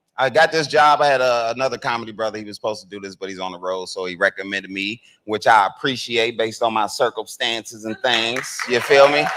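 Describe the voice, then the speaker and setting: This man talks at a very fast pace with hardly any pauses, using a medium pitch with ordinary variation. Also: big swings in loudness. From northern Kentucky (Newport). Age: 40s. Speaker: comedian and event emcee. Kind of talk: stand-up style emceeing. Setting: stage with audience at convention. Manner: casual, conversational.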